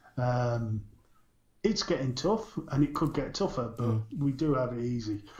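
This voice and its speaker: A man talks at a moderate pace in a medium-pitched voice. His voice is somewhat breathy. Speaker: podcast co-host. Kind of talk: casual chat about vaping news.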